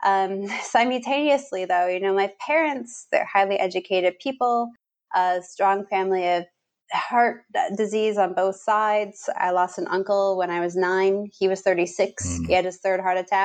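This woman has an unremarkable speaking voice with a Canadian accent. She speaks at a moderate pace in a medium pitch with ordinary pitch variation. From Canada. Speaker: fasting clinic director. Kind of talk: interview.

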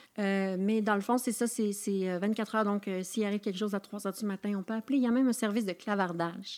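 A woman speaks at a very fast pace. Her medium pitch carries fairly even intonation. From Quebec, Charlevoix. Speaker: actress and poet. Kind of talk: casual interview chat.

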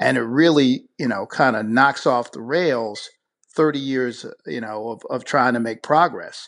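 A plain, everyday voice with an American accent, at a fairly slow pace, with big swings in loudness and ordinary pitch variation, against a quiet background. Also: man, medium pitch for a man. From Buffalo, New York. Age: 50s. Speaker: attorney and former political candidate. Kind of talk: radio interview.

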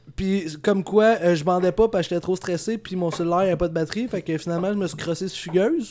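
Speaking very fast with hardly any pauses, a man with a high pitch and a Quebec accent keeps a fairly even intonation over noticeable background noise. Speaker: vlogger. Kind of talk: casual chat.

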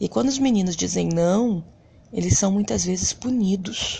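A woman at a moderate pace. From Brazil, Rio de Janeiro (Bangu). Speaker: education supervisor. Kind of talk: reflective monologue.

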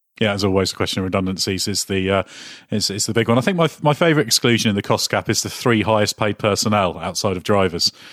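With a British accent, this man talks at a very fast pace in a fairly low voice. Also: ordinary pitch variation, dry, close sound with no echo, very clean recording, silent background. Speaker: podcast host. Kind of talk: casual chat. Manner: halting.

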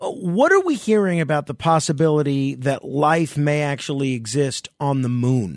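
The voice is a normal speaking voice with ordinary pitch variation. It moves along at a moderate pace. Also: man, fairly high pitch for a man. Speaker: late-night radio talk show host. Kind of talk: radio call-in show.

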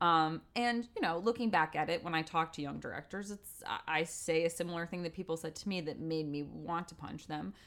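With a normal speaking voice, a woman talks at a fairly quick pace in a fairly low pitch, her pitch varying in an ordinary way while her loudness swings widely, all on a very clean recording with a silent background. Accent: American. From US Northeast (Westport, Connecticut). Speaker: theater director. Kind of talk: interview.

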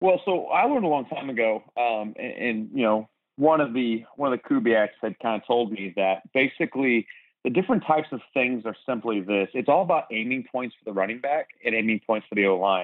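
Using an American accent, a man speaks at a fairly quick pace with lively intonation. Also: medium pitch for a man. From Philadelphia. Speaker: high school football coach. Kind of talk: casual interview about football tactics. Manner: animated.

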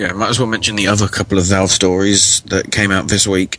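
A man's fairly low, monotone voice with flat intonation and a British accent, amid noticeable background noise. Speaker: podcast co-host. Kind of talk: casual live chat.

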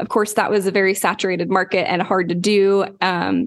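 A woman with a plain, everyday voice and an American accent speaks at a moderate pace and medium pitch. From Oklahoma, US. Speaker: branding consultant and podcaster. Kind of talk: casual interview.

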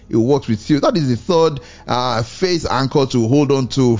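A man speaks in an unremarkable speaking voice at a medium pitch. His pace is moderate and his pitch varies in an ordinary way. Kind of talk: devotional radio talk and preaching. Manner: fervent, exhortative.

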